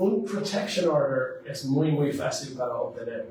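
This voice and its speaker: A man speaks at a very slow pace. Noticeable background noise and audible room echo fill the recording. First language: English (speaking Spanish). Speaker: lawyer. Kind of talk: legal advice talk. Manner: halting, many fillers.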